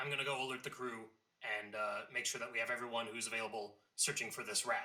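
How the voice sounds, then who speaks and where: In a raspy put-on character voice, a man rattles along at a very fast pace and a medium pitch. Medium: actual play. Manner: calm, authoritative.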